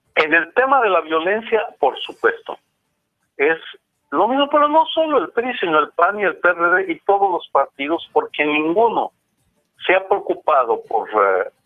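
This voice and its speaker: A man's voice at very even loudness, with music in the background. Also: fairly slow pace. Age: 60s. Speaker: professor and author. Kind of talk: interview.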